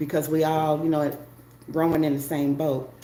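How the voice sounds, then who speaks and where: Her very deep, low voice set against audible room echo and noticeable background noise, a woman speaks at a moderate pace. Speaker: wig reviewer and traveling healthcare worker. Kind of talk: casual livestream chat. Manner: animated.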